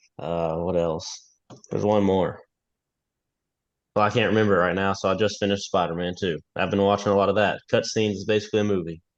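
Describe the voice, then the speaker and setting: A man in a Kentucky accent, fairly low and monotone with flat intonation, at a very fast pace broken by long, frequent pauses. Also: quiet background. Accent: Kentucky Southern. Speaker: podcast guest. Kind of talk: casual chat.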